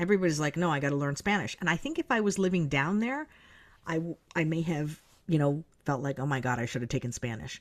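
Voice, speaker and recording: A woman speaks very fast in a very deep, low voice. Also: lively intonation. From US, South Florida. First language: Marathi. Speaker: strategist, speaker and author. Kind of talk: podcast interview. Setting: podcast.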